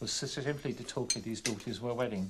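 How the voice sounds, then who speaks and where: A man speaks with an English accent. His pitch is medium and his pace fairly quick. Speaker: documentary presenter. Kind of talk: personal testimony. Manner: halting.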